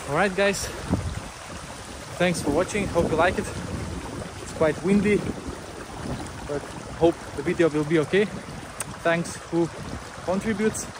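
A man with a high pitch, fairly even intonation and a moderate pace, dry with no echo, over noticeable background noise. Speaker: outdoor beaver-dam vlogger. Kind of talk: casual vlog chat. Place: waterside. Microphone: phone near.

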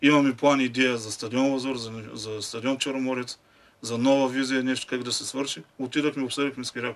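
The man's intonation stays monotone and flat. He talks at a moderate pace. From Bulgaria. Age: 40s. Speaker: football fan; guest. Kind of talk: casual chat. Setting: studio. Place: studio. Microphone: studio mic.

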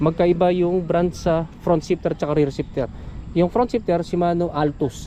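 A man's high-pitched voice at a fairly quick pace, with fairly even intonation, dry sound with no echo and light background noise. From Philippines. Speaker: cycling YouTuber doing bike check; bike vlogger interviewer. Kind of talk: casual bike-check interview; casual vlog chat and bike parts walkthrough. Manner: casual, with frequent fillers and laughs. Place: open country. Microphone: phone near.

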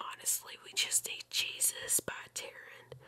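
Someone whispers at a fairly slow pace. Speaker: youtuber. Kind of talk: casual vlog chat. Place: home room. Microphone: studio mic.

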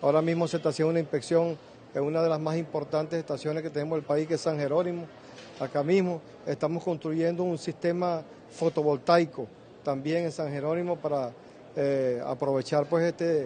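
In a monotone, flat intonation, a man speaks at a fairly quick pace with light noise in the background. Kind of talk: press statement. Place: hall. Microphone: handheld.

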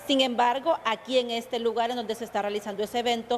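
A woman's normal speaking voice, fairly high-pitched, with fairly even intonation. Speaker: TV reporter. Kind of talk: live report. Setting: on location at an event.

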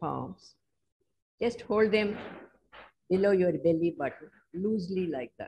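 Somewhat breathy and dark, mellow in tone, a woman speaks at a fairly slow pace with lively intonation. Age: 80s+. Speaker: qi gong teacher and healer. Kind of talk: guided movement instruction. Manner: slow, calm. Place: home room. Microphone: video call.

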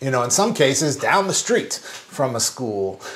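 Over noticeable background noise, a man with a medium pitch talks in an animated tone at a moderate pace. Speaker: podcast co-host, former school principal. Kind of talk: casual chat.

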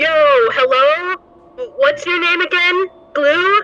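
In a squeaky, put-on character voice, the speaker talks at a fairly slow pace with an extremely high pitch. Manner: eager, awkward, says bro constantly.

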